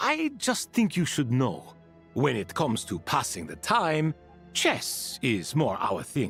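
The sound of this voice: Over faint background music, a man uses a put-on character voice at a slow pace, medium in pitch with very wide swings, a fairly bright tone, a slightly husky edge and vocal fry.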